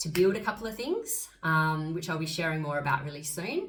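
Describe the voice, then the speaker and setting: Audible room echo surrounds this woman's fairly low voice. She talks at a fairly quick pace with an Australian accent. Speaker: astrologer and spiritual coach. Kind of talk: casual vlog monologue. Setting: on camera, solo video. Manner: fast; animated.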